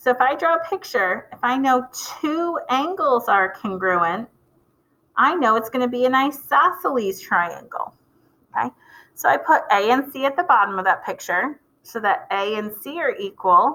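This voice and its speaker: Raised, projected woman's voice, high-pitched and bright and sharp in tone, with very wide pitch swings at a moderate pace. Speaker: math teacher. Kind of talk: video lecture.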